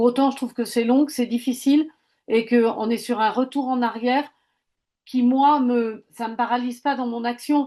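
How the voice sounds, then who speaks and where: In a quiet background, a woman talks at a moderate pace with a high pitch, a dark, mellow tone and monotone, flat intonation. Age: 60s. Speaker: webinar participant, coach and trainer. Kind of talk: audience question.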